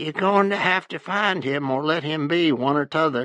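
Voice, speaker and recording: The speaker uses a put-on character voice in an Appalachian accent. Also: man. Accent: Appalachian backwoods. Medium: read story. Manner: prying, blunt.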